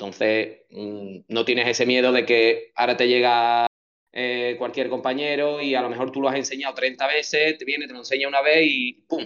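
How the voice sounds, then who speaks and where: Delivered at a fairly quick pace with fairly even intonation, the voice is an unremarkable speaking voice. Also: man. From Andalusia, Chipiona (Cádiz). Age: 30s. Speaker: real estate agent. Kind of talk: casual interview chat.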